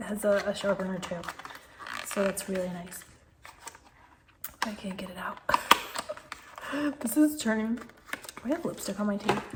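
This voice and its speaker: Against noticeable background noise, a woman speaks with ordinary pitch variation and long, frequent pauses. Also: medium pitch for a woman, moderate pace. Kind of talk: makeup unboxing and review talking to camera. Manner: whispered, soft.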